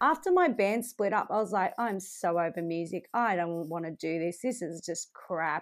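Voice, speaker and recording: With hardly any pauses, a woman talks on a very clean recording against a silent background. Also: medium pitch for a woman, lively intonation, moderate pace. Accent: Australian. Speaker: country music singer. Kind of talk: interview.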